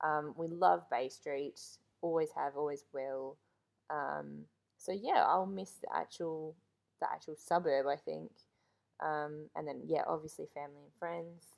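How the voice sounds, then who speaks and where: Speaking fairly slowly with an Australian accent, a woman makes big swings in loudness. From Australia, mostly Melbourne. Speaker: host's wife. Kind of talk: casual chat. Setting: at home, sitting beside the host.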